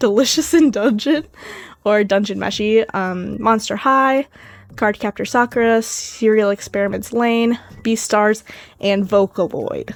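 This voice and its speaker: A woman in an American accent, fairly high in pitch, at a fairly slow pace with ordinary pitch variation, on a very clean recording with a silent background. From US Midwest, Madison, Wisconsin. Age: 20s. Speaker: artist YouTuber. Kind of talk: casual Q&A voice-over. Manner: hesitant with filler ums.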